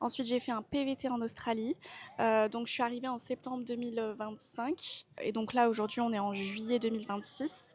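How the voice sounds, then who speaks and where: Fairly even in intonation, an ordinary speaking voice proceeds at a moderate tempo. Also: woman. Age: 20s. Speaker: travel vlogger. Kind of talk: casual vlog monologue. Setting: airport.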